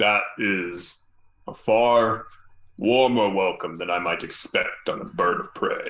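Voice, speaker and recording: In a put-on character voice, a man speaks at a medium pitch and a fairly slow pace. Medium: actual play. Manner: formal, measured.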